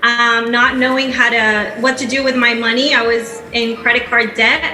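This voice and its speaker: A woman with a Spanish accent speaks fairly slowly in a high voice. Noticeable background noise and audible room echo fill the recording. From Peru. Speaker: network marketing entrepreneur. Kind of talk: testimony on stage.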